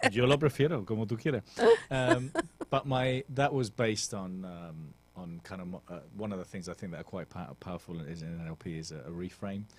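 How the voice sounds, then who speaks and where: A man with a British accent speaks at a fairly quick pace in a very deep, low voice with lively intonation. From England. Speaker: author and motivational coach. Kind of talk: radio interview. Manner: direct.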